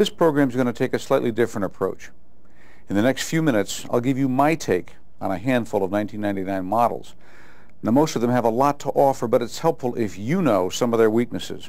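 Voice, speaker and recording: A man rattles along at a very fast pace, with ordinary pitch variation. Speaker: presenter. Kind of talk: corporate training presentation. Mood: confident, lightly wry. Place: studio. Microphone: lapel.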